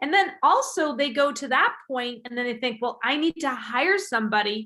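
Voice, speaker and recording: Projecting a raised voice, a woman speaks at a high pitch and a moderate pace. Her intonation is lively. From England. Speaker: podcast host. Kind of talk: casual interview chat.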